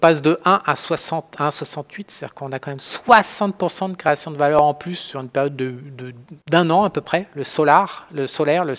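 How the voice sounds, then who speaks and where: The speaker has a strong French accent. The pace is fairly quick. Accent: strong French accent in English words. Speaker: trading educator. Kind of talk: tutorial. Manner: halting, many fillers; casual.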